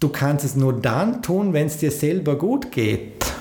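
A man's fairly high-pitched voice with lively intonation, audible room echo and noticeable background noise. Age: 40s. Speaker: podcast host and business coach. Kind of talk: motivational monologue.

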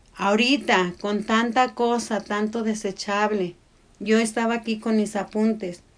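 Over music in the background, a woman with a fairly high pitch speaks at a fairly slow pace in a monotone, flat intonation. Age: 60s. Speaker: podcast co-host, mother. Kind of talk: casual chat.

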